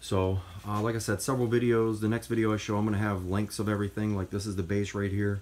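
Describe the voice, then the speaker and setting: A man's fairly low, monotone voice with flat intonation at a very fast pace, over noticeable background noise. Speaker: DIY hobbyist video maker. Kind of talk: tutorial.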